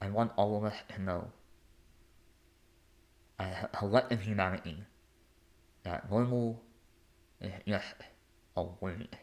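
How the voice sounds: Pausing long and often, a man talks at a fairly slow pace in a fairly low pitch, with a slightly mellow tone and fairly even intonation.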